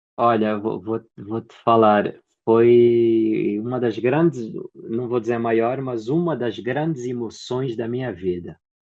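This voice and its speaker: A man's medium-pitched voice at a very slow pace. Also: ordinary pitch variation. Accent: Angolan. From Angola. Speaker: actor and theatre producer. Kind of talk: interview.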